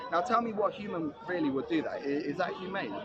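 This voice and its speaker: A man talks at a very fast pace with a high pitch and lively intonation. Noticeable background noise runs underneath. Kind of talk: heated debate. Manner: loud.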